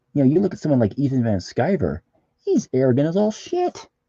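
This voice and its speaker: Recorded dry and close with no echo, a man talks at a moderate pace. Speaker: comic artist streamer. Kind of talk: casual live-stream chat while drawing. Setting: live stream. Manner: halting, repetitive; usually quiet, talks little.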